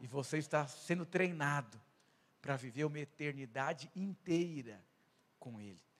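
Pitched fairly high, a man with an animated tone and ordinary pitch variation talks at a moderate pace, his loudness swinging widely and his speech broken by long, frequent pauses. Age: 30s. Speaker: pastor. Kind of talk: sermon.

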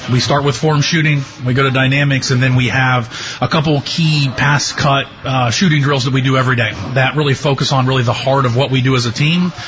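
Over noticeable background noise, a man talks at a fairly quick pace with monotone, flat intonation and very even loudness. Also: medium pitch for a man. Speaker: girls basketball head coach. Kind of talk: interview chat.

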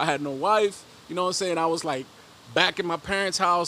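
A man talks at a high pitch. Noticeable background noise runs behind him. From Mexico (León, Guanajuato), raised in West Dallas. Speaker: rapper and record label owner. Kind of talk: casual interview chat. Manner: repetitive, stammering filler.

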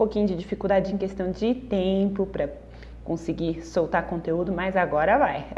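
Amid noticeable background noise, a woman speaks at a medium pitch and moderate pace with ordinary pitch variation. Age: 30s. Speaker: crochet artisan and podcaster. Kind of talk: personal storytelling monologue. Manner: casual, chatty.

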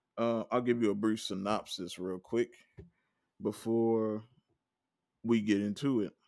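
With a Southern US accent, a man speaks in a relaxed tone and a monotone, flat intonation at a fairly slow pace, leaving long, frequent pauses. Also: fairly low pitch for a man. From Mississippi. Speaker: podcast host. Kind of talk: casual solo podcast monologue. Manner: relaxed, conversational.

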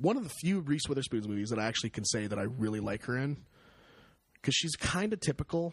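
A man talks at a very fast pace with very wide pitch swings. His voice is somewhat breathy. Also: medium pitch for a man. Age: 20s. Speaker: movie podcast co-host. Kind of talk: casual chat.

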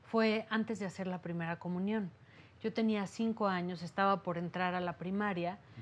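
Her voice is somewhat breathy and medium in pitch, with ordinary pitch variation, as the woman talks at a moderate pace. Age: 40s. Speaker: therapist and meditation teacher. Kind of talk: interview testimony. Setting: her office. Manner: calm, soothing.

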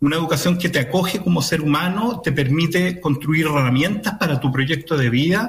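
A fairly high-pitched male voice, fairly quick with hardly any pauses and very even loudness, amid noticeable background noise. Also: ordinary pitch variation. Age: 50s. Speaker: municipal education official. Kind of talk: radio interview.

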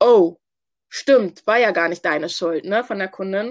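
A woman talks at a moderate pace in an unremarkable speaking voice. Her pitch is medium. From Hamburg, Germany (Ghanaian family). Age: 20s. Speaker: student and business founder. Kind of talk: interview.

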